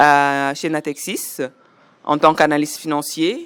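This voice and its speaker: With monotone, flat intonation, a woman speaks at a fairly slow pace in a very deep, low pitch. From Senegal (Louga, Dakar). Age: 40s. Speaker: finance professional. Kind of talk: interview testimony.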